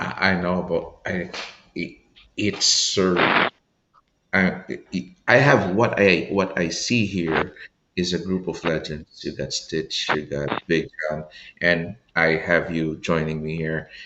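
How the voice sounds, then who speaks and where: A man's very deep, low voice at a very slow pace, with long, frequent pauses and ordinary pitch variation. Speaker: podcast host, doctor. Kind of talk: interview conversation. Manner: stammering, halting.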